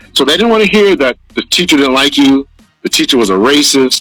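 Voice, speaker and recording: Music plays behind a man with a fairly high pitch. The sound is dry and close, with no echo. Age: 40s. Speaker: podcast host. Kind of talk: casual discussion.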